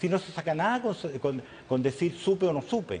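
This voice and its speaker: Here a man speaks at a high pitch with very wide pitch swings. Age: 80s+. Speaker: business leader. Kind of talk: TV interview. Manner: halting.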